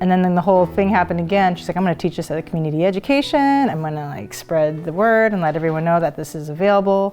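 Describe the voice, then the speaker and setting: With music in the background, a woman speaks at a very fast pace, with a fairly low pitch, ordinary pitch variation, and hardly any pauses. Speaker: interviewee's child. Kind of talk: interview answer.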